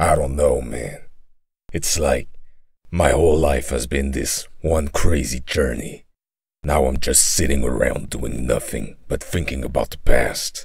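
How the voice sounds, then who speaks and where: In a put-on character voice, a man speaks at a fairly slow pace, raspy and very deep in pitch. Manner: weary, quietly determined.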